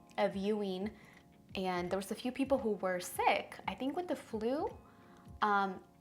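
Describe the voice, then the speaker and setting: Music plays in the background while a woman speaks at a moderate pace. Her pitch is medium, with ordinary pitch variation. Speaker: beauty vlogger. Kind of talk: casual chat.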